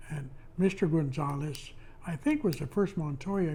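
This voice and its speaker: The man's voice sits fairly high in pitch, with a dark, mellow tone. He speaks at a moderate pace and sounds somewhat breathy. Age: 80s+. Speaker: retired postal worker. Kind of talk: oral history interview. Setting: at home.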